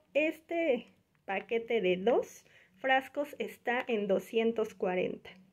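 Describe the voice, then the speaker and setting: Over a quiet background, a woman speaks very slowly at a fairly high pitch with lively intonation. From Mexico. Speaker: YouTuber, mother; home vlogger. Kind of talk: shopping haul vlog. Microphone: phone near.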